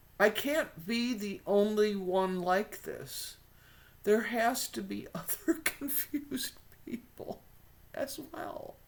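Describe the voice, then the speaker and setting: Speaking very slowly in an American accent, a woman with a fairly high pitch shows very wide pitch swings and big swings in loudness. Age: 60s. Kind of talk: casual talk to camera.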